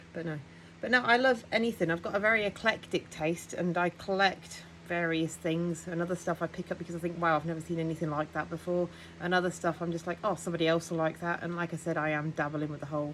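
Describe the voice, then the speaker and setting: Talking at a very fast pace, a woman with a fairly low pitch, vocal fry and ordinary pitch variation comes through. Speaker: thrift vlogger. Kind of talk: casual haul vlog. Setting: at home.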